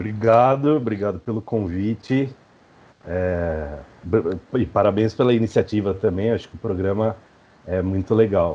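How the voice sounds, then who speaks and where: At a fairly slow pace, a man talks in a fairly low voice with ordinary pitch variation. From interior of São Paulo state, Brazil (Mairinque). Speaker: professor and researcher, podcaster. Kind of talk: interview. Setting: video call.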